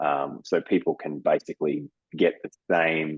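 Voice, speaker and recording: A man is speaking. He has an Australian accent. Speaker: business development director at a dental education company. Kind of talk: interview.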